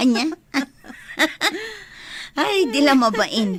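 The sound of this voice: A woman puts on a character voice with a high pitch and big swings in it. She speaks at a very slow pace.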